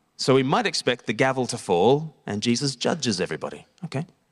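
A man speaks at a moderate pace. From Australia. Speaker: evangelist and preacher. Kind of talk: sermon. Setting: church service with congregation.

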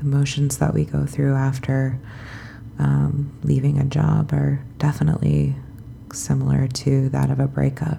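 A woman speaks with a very deep, low pitch at a fairly slow pace, over noticeable background noise. Her pitch swings very widely. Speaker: sleep podcast host. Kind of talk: bedtime reading and casual talk. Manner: soft, calm; hesitant, many fillers.

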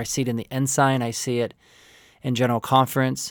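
With an American accent, a man speaks at a fairly quick pace and medium pitch in monotone, flat intonation, the very clean recording dry and close with no echo and a silent background. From Oklahoma (rural), from age seven. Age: 40s. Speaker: marriage and family therapist. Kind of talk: interview testimony.

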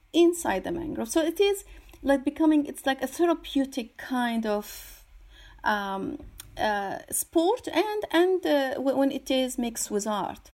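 A woman's high-pitched voice with an Arabic accent, very wide pitch swings and a fairly slow pace, on a very clean recording with a silent background. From Syria. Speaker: artist and environmental activist. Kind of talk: interview. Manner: halting, many fillers and repetitions.

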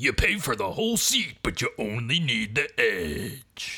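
The speaker uses a put-on character voice and talks at a fairly slow pace. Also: man, medium pitch for a man. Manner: booming, over-the-top.

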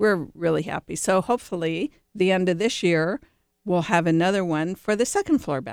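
In an American accent, a woman speaks at a moderate pace in a plain, everyday voice of medium pitch, with ordinary pitch variation and a dry, close sound with no echo. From Cleveland, Ohio. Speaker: executive director of a remodelers' trade association. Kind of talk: casual chat. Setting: studio.

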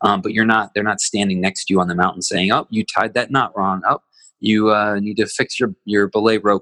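A man speaks at a fairly low pitch, the sound dry and close with no echo. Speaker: behavioral consultant and facilitator. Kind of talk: interview conversation.

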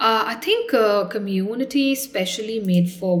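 This is a woman's voice. There is audible room echo. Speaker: doctor and startup founder. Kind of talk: interview.

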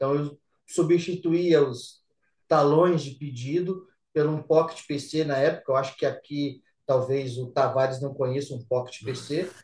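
A somewhat breathy voice at a fairly slow pace. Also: man, fairly high pitch for a man. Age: 40s. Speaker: systems analyst. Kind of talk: casual chat.

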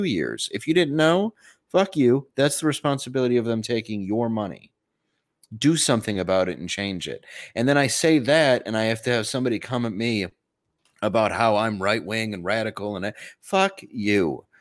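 An ordinary speaking voice with an American accent moves at a moderate pace with lively intonation. The recording is very clean, with a silent background. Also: man. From Detroit, Michigan. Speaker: comedian. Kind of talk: casual chat.

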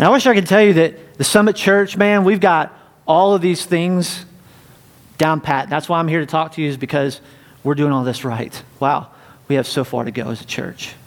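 In an ordinary speaking voice, a man with a fairly high pitch talks at a moderate pace with lively intonation. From US South, North Carolina. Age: 40s. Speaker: pastor. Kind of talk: sermon. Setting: church.

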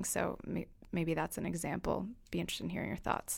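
With an unremarkable speaking voice, a woman talks at a fairly quick pace on a very clean recording with a silent background. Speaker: student interviewer. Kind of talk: interview questions. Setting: studio.

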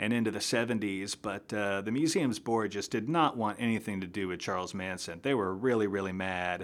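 The recording is very clean with a silent background, carrying a man's fairly low voice. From upstate New York. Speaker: author. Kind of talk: interview. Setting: studio. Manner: halting, many fillers.

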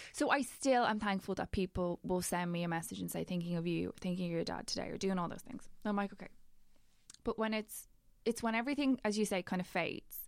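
A woman talks at a very fast pace with a Dublin accent, her pitch medium and its variation ordinary. The recording is very clean, with a silent background. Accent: Dublin Irish. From Ireland, Dublin. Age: 30s. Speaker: broadcaster and podcaster. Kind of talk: casual chat.

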